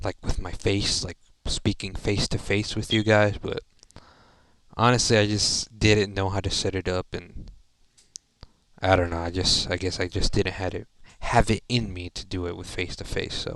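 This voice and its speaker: Leaving long, frequent pauses, a man talks at a moderate pace and fairly low pitch in a monotone, flat intonation. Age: 20s. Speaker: gaming YouTuber. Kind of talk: casual monologue. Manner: halting, filler-heavy.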